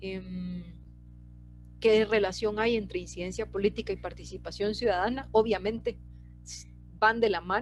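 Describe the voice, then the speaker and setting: A woman talks at a moderate pace while music sounds in the background. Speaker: scientist presenter. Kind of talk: lecture. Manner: hesitant with fillers.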